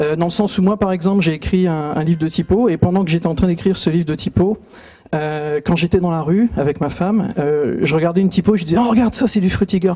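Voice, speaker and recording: Very fast speech from a man with a high pitch, a dark, mellow tone, and ordinary pitch variation. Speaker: typography speaker. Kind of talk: conference talk. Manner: hesitant, many fillers.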